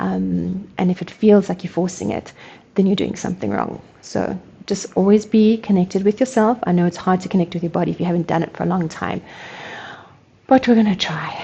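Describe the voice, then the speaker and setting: The voice has a dark, mellow tone with vocal fry, moves at a fairly quick pace, and shows ordinary pitch variation. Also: woman, medium pitch for a woman. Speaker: energy work instructor. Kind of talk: guided movement tutorial. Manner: fast; casual, hesitant.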